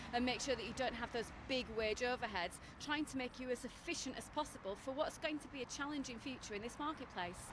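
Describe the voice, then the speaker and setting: Very fast and confident, a woman with a high pitch talks over noticeable background noise, the sound dry with no echo. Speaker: retail analyst. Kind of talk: news interview comment. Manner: fluent, confident, authoritative. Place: street.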